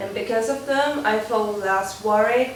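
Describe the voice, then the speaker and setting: A woman with a non-native accent speaks at a fairly slow pace in a fairly high pitch, her intonation fairly even, with audible room echo and noticeable background noise. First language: not English. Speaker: pre-dental volunteer. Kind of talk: testimonial review. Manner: halting, many fillers.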